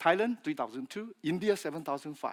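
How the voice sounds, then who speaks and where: Heard in a dry, close sound with no echo, a man with a Chinese accent speaks in a high pitch. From China (Fujian). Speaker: industry speaker, feed additive specialist. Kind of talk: conference presentation. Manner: halting, with fillers and repetitions.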